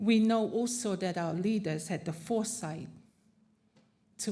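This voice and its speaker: Audible room echo surrounds a woman's dark, mellow, somewhat breathy voice with ordinary pitch variation. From Tokelau and Samoa. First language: not English (English is third language). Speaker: panelist, Pacific advocate. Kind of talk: conference panel talk.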